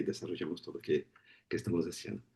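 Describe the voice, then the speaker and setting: A man speaks with a Brazilian accent. His tone is dark and mellow, and somewhat breathy. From southern Brazil, Paraná. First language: Portuguese (speaking Spanish). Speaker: lawyer and migration expert. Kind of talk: seminar talk. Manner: hesitant, repeating words.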